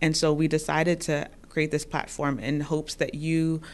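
Against a quiet background, a woman speaks at a very deep, low pitch. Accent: American. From New York. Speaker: PhD student, therapist and podcast host. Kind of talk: casual conversation.

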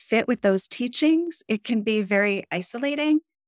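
A woman at a fairly slow pace, dry and close with no echo, in a very clean recording over a silent background. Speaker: author and coach. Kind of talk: podcast interview conversation.

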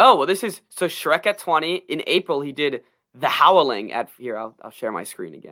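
A man speaks at a moderate pace with a fairly high pitch, vocal fry and a bright, sharp, animated tone. His pitch swings very widely and his loudness shifts a lot. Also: very clean recording, silent background. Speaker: podcast host. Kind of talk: casual chat.

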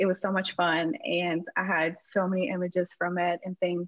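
A woman with an American accent speaks in an unremarkable speaking voice at a medium pitch. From Houston, Texas. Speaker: wrestling photographer. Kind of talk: interview.

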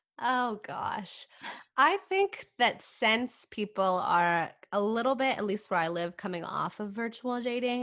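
Against a quiet background, a woman with an American accent speaks at a fairly slow pace with lively intonation. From California, small town. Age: 20s. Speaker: podcaster and university student. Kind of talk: casual interview chat.

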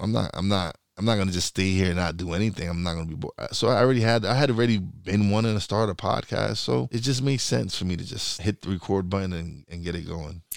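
Very fast and with lively intonation, a man speaks in a fairly low pitch on a very clean recording with a silent background. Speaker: podcast host. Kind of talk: casual interview chat. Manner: laid back; halting, many repeated words.

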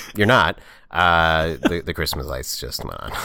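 A man's very deep, low pitch with vocal fry and a bright, sharp tone, at a fairly slow pace. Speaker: podcast co-host. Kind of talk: casual chat.

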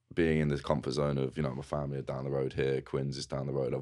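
Over noticeable background noise, a man with an English accent speaks at a very fast pace in a very deep, low pitch, his intonation monotone and flat. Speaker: rugby player. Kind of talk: casual interview chat. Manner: casual, conversational.

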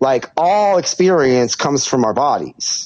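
A fairly high male voice with an American accent and very wide pitch swings. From California, Santa Barbara. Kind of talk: casual chat.

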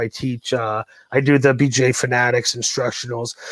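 A plain, everyday voice from a man at medium pitch, moderate pace and ordinary pitch variation, with a dry, close sound, no echo and a very clean recording over a silent background. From Ontario, Canada. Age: 40s. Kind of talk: casual interview chat.

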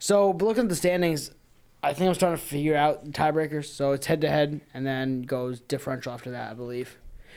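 A man with an American accent talks at a very fast pace. His voice is fairly high, with ordinary pitch variation. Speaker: podcast co-host. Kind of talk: casual banter podcast chat.

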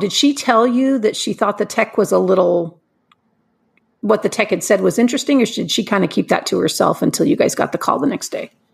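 Fairly quick, lively speech from a woman with a fairly high, somewhat breathy voice. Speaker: podcast host. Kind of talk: casual interview. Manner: warm, friendly.

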